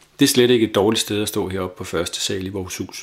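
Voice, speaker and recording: Pitched fairly low, a man speaks in an unremarkable speaking voice with fairly even intonation. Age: 50s. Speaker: island resident, former union chairman. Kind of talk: self-recorded audio diary.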